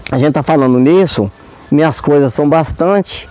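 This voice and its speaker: Over noticeable background noise, a man talks at a moderate pace and a fairly high pitch, with ordinary pitch variation. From Brazil, Minas Gerais countryside. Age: 70s. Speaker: community leader and farmer. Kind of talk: interview. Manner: halting.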